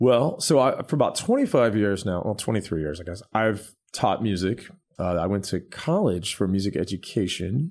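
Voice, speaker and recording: A normal speaking voice from a man, fairly low in pitch and at a moderate pace, on a very clean recording with a silent background. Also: lively intonation. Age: 40s. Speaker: pianist and songwriter. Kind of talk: casual interview chat.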